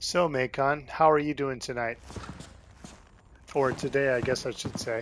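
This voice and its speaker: With an American accent and a medium pitch, a man speaks in fairly even intonation with long, frequent pauses, over noticeable background noise. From United States. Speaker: video game streamer. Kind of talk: live stream commentary. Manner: fast; fumbles words sometimes.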